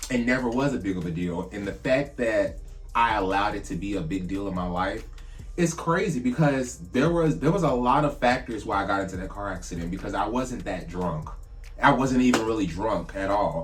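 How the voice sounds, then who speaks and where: Over music in the background and with audible room echo, a man with a fairly low voice talks at a fairly quick pace, his tone animated and his intonation lively. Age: 30s. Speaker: drag queen vlogger. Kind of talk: casual vlog monologue.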